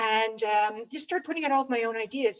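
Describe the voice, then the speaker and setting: A woman with a Canadian accent has an unremarkable speaking voice, fairly high in pitch. She talks at a fairly quick pace with ordinary pitch variation. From Canada. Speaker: ed tech consultant. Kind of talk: panel discussion.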